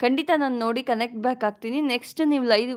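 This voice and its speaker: A woman talks at a high pitch, her intonation fairly even. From Karnataka, Mysuru region (Hunsur). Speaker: vlogger. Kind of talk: live stream chat with viewers.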